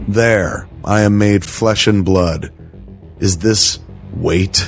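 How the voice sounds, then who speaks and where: A man speaks with a very deep, low voice. Music plays in the background. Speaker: podcast host. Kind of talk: casual comic book read-aloud with commentary. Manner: enthusiastic, profane.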